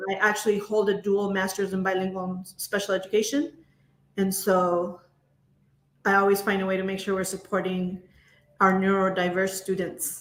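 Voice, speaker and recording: Her pace moderate, a woman speaks with monotone, flat intonation and long, frequent pauses. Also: medium pitch for a woman. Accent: Spanish. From US, child of Latin American immigrants. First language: Spanish. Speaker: education leader. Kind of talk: interview.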